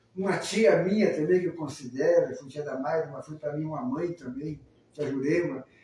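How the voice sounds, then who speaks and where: A man talks at a moderate speed with lively intonation. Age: 70s. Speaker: spiritist program co-host, retired army officer. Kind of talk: casual talk show conversation. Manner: warm, halting with repetitions.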